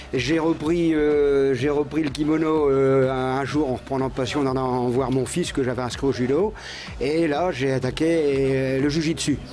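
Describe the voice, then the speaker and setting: Over noticeable background noise, a man talks at a fairly slow pace with fairly high pitch, fairly even intonation and very even loudness. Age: 60s. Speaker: amateur martial arts practitioner. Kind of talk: TV interview. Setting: TV studio. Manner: halting, repetitive.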